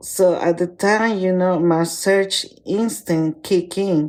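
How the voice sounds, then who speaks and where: Very slowly, a woman speaks with a non-native accent and fairly even intonation. Her voice is fairly low with a dark, mellow tone, on a very clean recording with a silent background. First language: not English. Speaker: listener sharing a personal story. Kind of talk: personal story recording.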